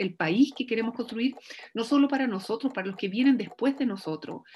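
A woman speaks with a Chilean accent in a fairly high, somewhat breathy voice with ordinary pitch variation. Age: 40s. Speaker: lawyer and political candidate. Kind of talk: campaign appeal; interview conversation.

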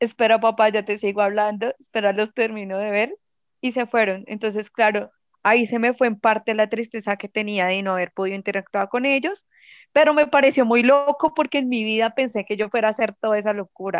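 A woman with a fairly high pitch speaks at a fairly quick pace, with ordinary pitch variation. It is an ordinary speaking voice. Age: 20s. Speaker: fan club leader. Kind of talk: casual interview.

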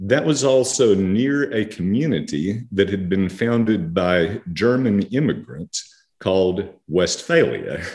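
With an American accent, a man speaks in an ordinary speaking voice at a fairly low pitch, using lively intonation at a fairly slow pace. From central Texas. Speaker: theologian. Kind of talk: interview.

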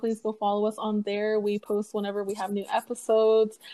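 At a moderate pace, a woman talks with a fairly high pitch and a dark, mellow tone in a very clean recording with a silent background. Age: 20s. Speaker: podcast co-host. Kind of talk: casual chat. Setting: home recording with earphone mic. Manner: animated.

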